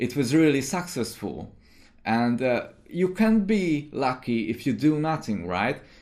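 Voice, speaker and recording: In a very clean recording with a silent background, a man with a Hungarian accent speaks at a very slow pace, his fairly high voice showing lively intonation. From Hungary. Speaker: indie game developer. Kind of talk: video commentary monologue. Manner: hesitant, many fillers.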